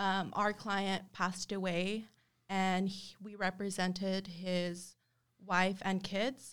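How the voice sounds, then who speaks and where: A woman of medium pitch speaks at a very slow pace in monotone, flat intonation. The recording is very clean, with a silent background. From Texas, El Paso. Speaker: law firm office manager and paralegal. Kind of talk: casual interview. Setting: office, recorded on video. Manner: hesitant, many fillers.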